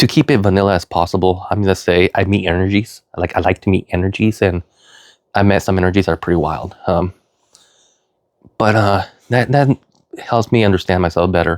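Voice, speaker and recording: A man with a very deep, low voice talks at a fairly quick pace. He leaves long, frequent pauses. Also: dry, close sound with no echo. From Northern California. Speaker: vlogger. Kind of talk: personal monologue. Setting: at home, in his room. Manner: fast; halting.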